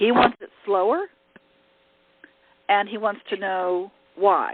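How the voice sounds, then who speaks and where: A woman's medium-pitched voice at a very slow pace, with big swings in loudness. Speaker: leadership coach. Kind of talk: teleconference workshop talk. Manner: direct.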